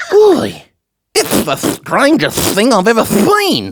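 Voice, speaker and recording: A cartoonish character voice with a fairly high pitch drags along at a very slow pace. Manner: flustered.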